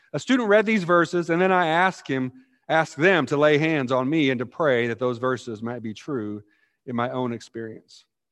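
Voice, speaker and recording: Against a quiet background, a man with a plain, everyday voice speaks at a moderate pace, with fairly high pitch and lively intonation. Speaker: pastor. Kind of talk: sermon. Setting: church.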